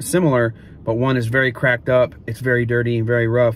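There is light background noise as a somewhat breathy man speaks in a dry sound with no echo. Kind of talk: tutorial. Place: car. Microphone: phone near.

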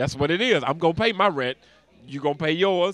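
Animated in tone, a man talks at a very fast pace with a dry sound with no echo. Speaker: comedian; comedian interview guest. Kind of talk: casual interview with comic bits. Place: street. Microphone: handheld.

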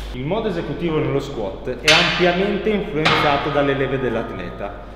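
Amid audible room echo and light background noise, a man speaks at a moderate pace with ordinary pitch variation. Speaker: strength coach. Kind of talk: tutorial. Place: gym.

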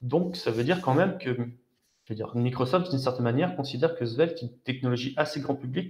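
At a fairly quick pace, a man with a medium pitch and ordinary pitch variation speaks in a slightly mellow tone with audible room echo.

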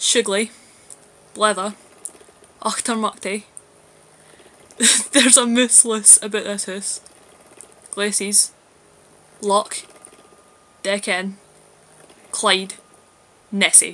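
A woman with a Glasgow accent speaks at a very slow pace. Her intonation stays fairly even, broken by long, frequent pauses. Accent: Glasgow Scottish. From Scotland, Glasgow. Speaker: video blogger. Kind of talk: casual vlog, reading a word list aloud. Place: home room. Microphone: webcam.

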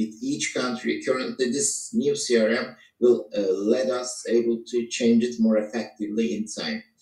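A man's fairly slow speech with fairly even intonation, audible room echo and a quiet background. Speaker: tech team lead; presenter. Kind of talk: online presentation. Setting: video call. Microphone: video call.

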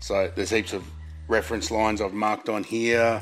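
A man at a fairly quick pace with faint music in the background. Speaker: presenter. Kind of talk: tutorial. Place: workshop.

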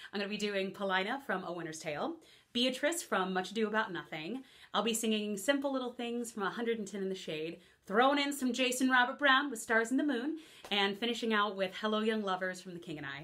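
A woman talks very fast at a fairly high pitch, with lively intonation and a bright, sharp tone. The background is quiet. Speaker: actress. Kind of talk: audition slate, talk to camera. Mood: bright, smiling, upbeat. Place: studio.

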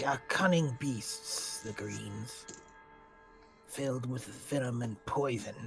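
Over clear music in the background, a man uses a put-on character voice at a medium pitch, speaking at a fairly slow pace. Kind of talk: stately fantasy speech. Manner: formal, grave, deliberate.

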